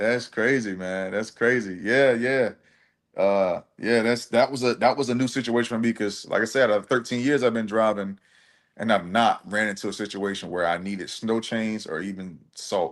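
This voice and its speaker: With a normal speaking voice, a man talks at a moderate pace and medium pitch, his intonation fairly even over a quiet background. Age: 30s. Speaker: truck driver and live streamer. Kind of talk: casual chat.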